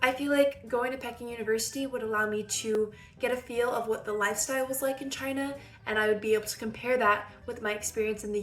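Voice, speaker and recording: A woman with an American accent talks at a very fast pace. Her pitch is fairly high and her intonation fairly even. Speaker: vlogger, student. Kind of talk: personal vlog monologue. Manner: casual, conversational.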